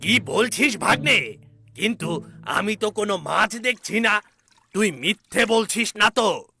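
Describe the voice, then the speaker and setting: Putting on a cartoonish character voice, a man speaks in a high pitch at a fairly slow pace. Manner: gloating, sly.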